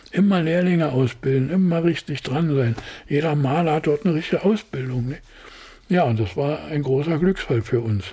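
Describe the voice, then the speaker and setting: At a moderate pace, a man speaks with a fairly high pitch and a dark, mellow, somewhat breathy tone. His pitch variation is ordinary. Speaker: production designer. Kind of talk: interview. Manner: halting.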